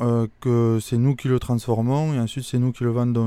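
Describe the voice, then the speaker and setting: In a very clean recording with a silent background, a man with a dark, mellow tone speaks at a medium pitch with fairly even intonation. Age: 30s. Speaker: winemaker. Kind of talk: interview on site. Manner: hesitant, many fillers.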